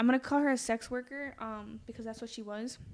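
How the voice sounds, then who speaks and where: Her pitch sits fairly high and her intonation is monotone and flat. The woman keeps a moderate pace. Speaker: true crime podcast host. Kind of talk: casual true crime chat, narrating a case. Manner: stutters when nervous; casual, conversational.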